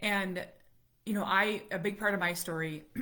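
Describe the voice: A woman's put-on character voice, raspy and medium-pitched, in a monotone, flat delivery at a moderate pace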